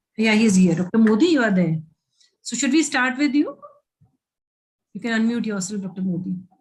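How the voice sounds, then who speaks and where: A woman with a fairly high, somewhat breathy voice speaks with lively intonation. Her pace is fairly quick, with long, frequent pauses. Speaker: webinar moderator, gynecologist. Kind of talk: online webinar moderation. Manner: fast.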